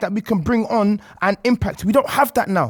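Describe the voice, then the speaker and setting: Speaking at a fairly quick pace with a London accent, the voice has an animated tone. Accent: London, multicultural London English. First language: not English (Congolese background). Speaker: football podcast panelist. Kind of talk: heated debate. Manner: animated, interrupting.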